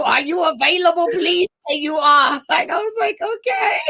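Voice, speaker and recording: Speaking at a fairly slow pace, a woman uses a raised, projected voice with a bright, sharp tone, an extremely high pitch and very wide pitch swings. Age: 40s. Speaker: actress. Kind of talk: interview.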